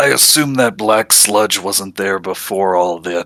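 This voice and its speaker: Using a put-on character voice, a man talks at a moderate pace and a fairly low pitch. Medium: actual play. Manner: blunt, offhand.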